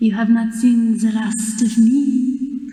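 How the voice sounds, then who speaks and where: A female-sounding, put-on character voice speaks at a very slow pace in a monotone, flat intonation, with a slight echo. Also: fairly high pitch for a woman. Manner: eerie, ominous.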